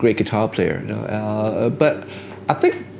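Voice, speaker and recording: Noticeable background noise behind a man's fairly low-pitched voice, delivered at a moderate pace. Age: 60s. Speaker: guitarist and songwriter. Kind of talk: interview. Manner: hesitant, many fillers.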